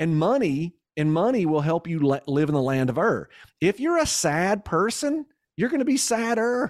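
A man with a Kentucky accent, high-pitched with very wide pitch swings, at a moderate pace and very even loudness, in a dry, close sound with no echo and a very clean recording over a silent background. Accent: Southern US (Kentucky). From Kentucky, US South. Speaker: entrepreneur and business coach. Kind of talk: casual interview.

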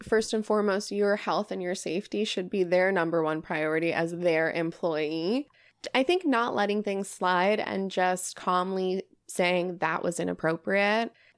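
Over a silent background in a very clean recording, a woman with an American accent has an ordinary speaking voice at medium pitch, with ordinary pitch variation and a fairly slow pace. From New York. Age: 30s. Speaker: podcast host. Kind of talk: casual chat; scripted intro.

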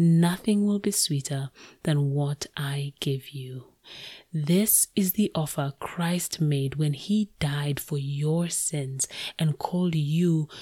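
In a very deep, low pitch, a woman speaks at a very slow pace, somewhat breathy and dark, mellow in tone, with ordinary pitch variation, on a very clean recording with a silent background and a dry, close sound with no echo. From Kenya. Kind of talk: devotional teaching monologue.

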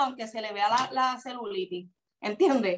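In a Puerto Rican accent, a woman talks at a moderate pace with lively intonation. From Puerto Rico. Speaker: social media personality. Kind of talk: interview.

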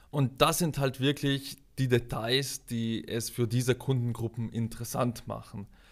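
The speaker has a South Tyrolean accent. The pace is fairly slow. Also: man, medium pitch for a man, fairly even intonation, very clean recording, silent background. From South Tyrol, Italy. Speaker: product manager. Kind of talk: interview.

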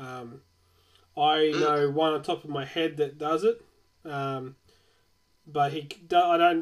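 A man speaks at a fairly slow pace with an Australian accent. His pitch is fairly high. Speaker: podcast host. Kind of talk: casual interview chat. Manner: filler-heavy, stumbling.

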